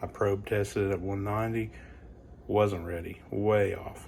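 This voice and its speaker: Over noticeable background noise, a man talks quietly at a moderate pace in a fairly low pitch, with a relaxed tone and fairly even intonation. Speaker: home cook / barbecue channel host. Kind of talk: casual cooking tutorial. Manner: casual, relaxed; quiet, hushed.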